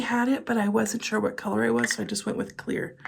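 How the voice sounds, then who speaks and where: This woman's voice sits fairly high and carries lively intonation. Vocal fry shows up in it. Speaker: beauty vlogger. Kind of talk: casual haul video chat. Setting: home filming room. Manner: soft-spoken.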